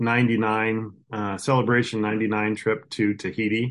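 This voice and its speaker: In a Midwestern American accent, a man speaks at a medium pitch. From rural Iowa. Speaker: farmer. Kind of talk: interview conversation.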